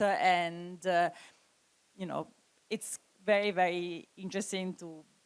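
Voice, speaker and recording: A woman speaks in an Italian accent at a medium pitch. Her intonation stays fairly even. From Italy. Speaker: curator. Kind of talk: panel discussion. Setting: stage with audience.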